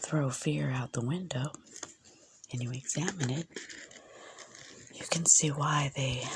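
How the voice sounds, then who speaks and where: Fairly slow delivery with long, frequent pauses and noticeable background noise. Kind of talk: ASMR book-sharing talk to camera. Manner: soft-spoken.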